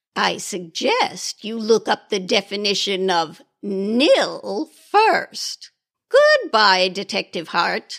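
A woman speaks very slowly at a medium pitch. The sound is dry and close, with no echo. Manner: brisk, impatient, tart.

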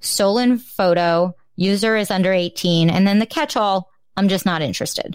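A woman speaks at a medium pitch with a slight New Jersey accent. The recording is very clean, with a silent background. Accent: New Jersey American, slight. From New Jersey, US. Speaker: podcast host. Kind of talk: casual chat.

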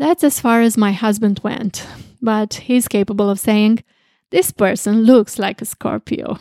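A woman with a Romanian accent speaks at a fairly slow pace and a fairly high pitch, with ordinary pitch variation and a dark, mellow tone. The recording is very clean, with a silent background and a dry, close sound with no echo. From southwestern Romania, Craiova. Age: 60s. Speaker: astrologer. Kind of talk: interview.

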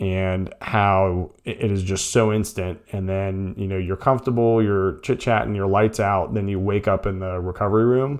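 There's a man with an unremarkable speaking voice, fairly low in pitch, talking at a moderate pace with fairly even intonation and hardly any pauses against a quiet background. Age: 40s. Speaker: podcast host. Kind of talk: solo podcast monologue. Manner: casual, frequent fillers.

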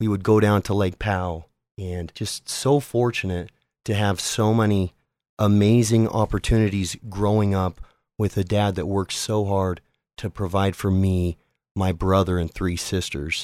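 A man's fairly low-pitched, plain, everyday voice with an American accent, at a moderate pace with fairly even intonation, dry and close with no echo in a very clean recording with a silent background. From Utah, US (South Jordan). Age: 30s. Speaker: podcaster. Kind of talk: casual interview.

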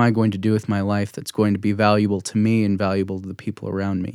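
Flat and monotone, a man with an American accent and a fairly low voice talks at a fairly quick pace on a very clean recording with a silent background. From Utah County, US. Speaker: future missionary. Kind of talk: interview.

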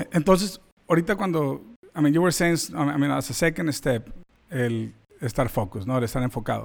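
In a normal speaking voice, the speaker uses lively intonation at a moderate pace. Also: man, fairly high pitch for a man. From Mexican-American. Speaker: podcast host. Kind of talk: podcast interview. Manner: casual, code-switching.

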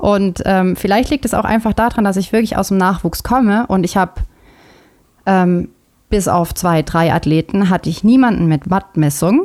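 A woman speaks in a plain, everyday voice at a medium pitch. Her pace is moderate and her loudness very even. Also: ordinary pitch variation. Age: 30s. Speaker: triathlon coach. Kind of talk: casual chat.

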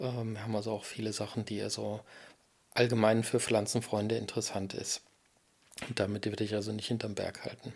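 A man's fairly low, flat monotone at a fairly quick pace, broken by long, frequent pauses. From Germany, Erfurt (Thuringia). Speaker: podcast host and cactus grower. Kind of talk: casual monologue. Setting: in a greenhouse nursery at dusk.

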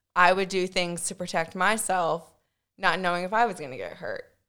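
A woman has a plain, everyday voice, medium in pitch with fairly even intonation. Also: very clean recording, silent background. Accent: American. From Virginia, US. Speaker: guest. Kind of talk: casual chat.

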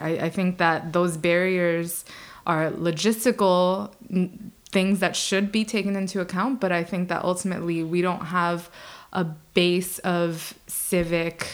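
In an ordinary speaking voice, a woman with an American accent talks at a fairly slow pace with a fairly low pitch and fairly even intonation, recorded very cleanly against a silent background. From the Bronx, New York City. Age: 20s. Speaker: former UN staffer, American expat interviewee. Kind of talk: interview answers.

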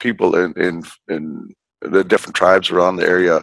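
A man with a northern Canadian accent, dry and close with no echo. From Northwest Territories, Canada (Fort Providence). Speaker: politician. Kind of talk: interview. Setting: remote call from home. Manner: halting, frequent fillers and repetitions.

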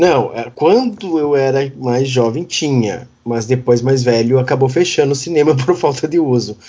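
A man speaks in a normal speaking voice at a medium pitch with ordinary pitch variation. His pace is fairly slow, with hardly any pauses. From Rio Grande do Sul, Brazil (Uruguaiana). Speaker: podcast co-host, health professional. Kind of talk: casual chat.

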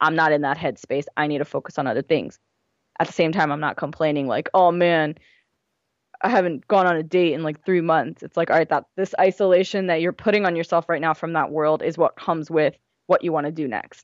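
An unremarkable speaking voice with an American accent moves at a fairly quick pace with fairly even intonation. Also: woman, fairly low pitch for a woman. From US, Gujarati Indian family. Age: 20s. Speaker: blogger and writer. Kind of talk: casual interview chat.

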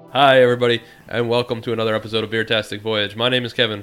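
A man in a put-on character voice talks very fast, raspy and monotone, with flat intonation at a medium pitch. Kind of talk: podcast host intro. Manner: hyper, energetic.

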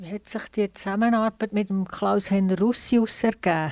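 In a very clean recording with a silent background, a woman with a Swiss accent speaks at medium pitch and a moderate pace with fairly even intonation. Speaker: radio host. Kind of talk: interview before live audience. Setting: stage with audience.

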